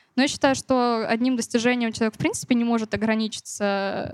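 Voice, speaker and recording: In an unremarkable speaking voice, a woman with a fairly high pitch talks at a moderate pace with ordinary pitch variation, the sound dry and close with no echo. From Siberia, Novokuznetsk. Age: young. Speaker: singer-songwriter. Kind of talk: interview.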